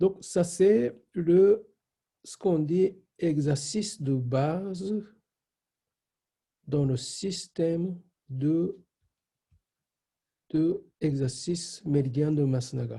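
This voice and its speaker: Speaking very slowly with long, frequent pauses, a man with a Japanese accent uses a high pitch, ordinary pitch variation and big swings in loudness. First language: Japanese (speaking French). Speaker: shiatsu teacher. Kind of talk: online class. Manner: halting.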